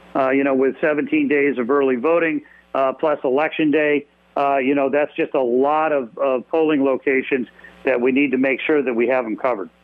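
This man has a normal speaking voice, fairly high in pitch for a man, delivered at a moderate pace with fairly even intonation and very even loudness. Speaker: state party chairman. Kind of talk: radio interview. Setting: phone call.

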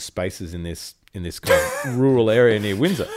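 This man has an Australian accent and speaks at a moderate pace. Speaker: musician. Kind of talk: casual chat.

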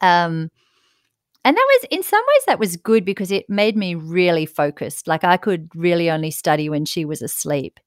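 On a very clean recording with a silent background, a woman talks at a moderate pace with a fairly low pitch and ordinary pitch variation. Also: dry, close sound with no echo. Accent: Australian. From Australia, south coast of New South Wales. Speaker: emergency physician. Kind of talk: interview.

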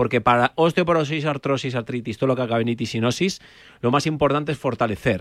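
Using a plain, everyday voice, a man speaks at a medium pitch and a moderate pace with ordinary pitch variation. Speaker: osteopath. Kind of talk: expert advice on radio.

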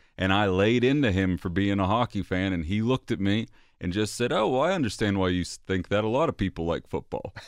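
Over a quiet background, a man with a plain, everyday voice speaks at a fairly quick pace and fairly low pitch, with ordinary pitch variation and very even loudness. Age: 30s. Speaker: radio producer. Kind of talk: casual chat.

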